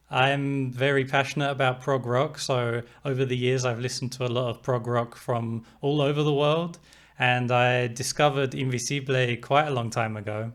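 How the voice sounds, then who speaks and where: Medium in pitch, a man with an English accent speaks at a moderate pace with monotone, flat intonation. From England. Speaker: music reviewer. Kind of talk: album review talk to camera.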